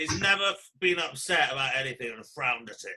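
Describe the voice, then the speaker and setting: A man with a Welsh accent, lively intonation and a fairly quick pace. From Wales. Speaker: podcast host. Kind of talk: casual chat.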